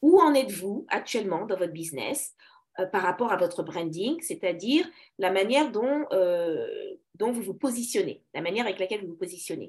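Very wide pitch swings mark this woman's speech at medium pitch. She keeps a moderate pace. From Paris, France. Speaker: business coach. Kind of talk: interview.

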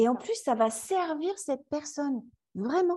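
Her tone is dark and mellow, and her pitch swings very widely. The woman keeps to a fairly slow pace. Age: 40s. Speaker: yoga teacher. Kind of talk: interview. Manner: halting.

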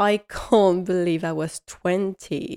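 With a French accent, a woman talks in fairly even intonation on a very clean recording with a silent background and a dry, close sound with no echo. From France. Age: 20s. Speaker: podcast host. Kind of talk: casual solo monologue. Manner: halting.

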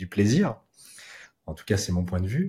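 A somewhat breathy man with a dark, mellow tone and a fairly quick pace, in a very clean recording with a silent background. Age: 20s. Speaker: entrepreneur, racing school cofounder. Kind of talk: casual interview chat.

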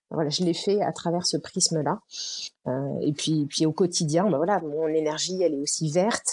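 A woman's fairly low, dark and mellow voice at a moderate pace over a quiet background. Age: 40s. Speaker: entrepreneur, founder of an event venue. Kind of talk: casual interview. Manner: hesitant, many fillers.

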